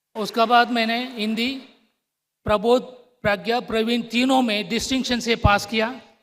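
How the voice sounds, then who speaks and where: A man's extremely high-pitched voice in a monotone, flat delivery. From Tamil Nadu, South India. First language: Tamil (speaking Hindi). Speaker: public sector company director. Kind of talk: formal ceremony speech.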